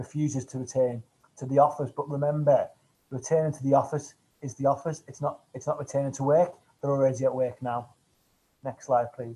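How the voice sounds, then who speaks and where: A man with a Manchester accent speaks at a fairly quick pace in a fairly high pitch, his intonation monotone and flat. His tone is dark and mellow, somewhat breathy, with big swings in loudness. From northern England, Manchester. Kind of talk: webinar presentation. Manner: fast.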